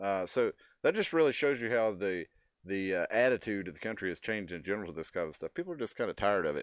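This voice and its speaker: In a dry, close sound with no echo and a quiet background, a man with a Texas accent speaks at a very fast pace, his fairly low voice full of lively intonation. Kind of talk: casual chat. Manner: halting.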